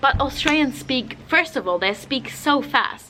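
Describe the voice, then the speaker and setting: A woman talks over noticeable background noise. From Germany. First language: German. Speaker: travel vlogger. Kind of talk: casual vlog talk. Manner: casual, lots of fillers.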